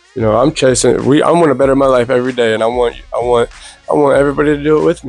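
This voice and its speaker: The man talks at a very fast pace with a medium pitch. Music plays in the background. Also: ordinary pitch variation. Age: 30s. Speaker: pro boxer. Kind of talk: casual chat. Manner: halting.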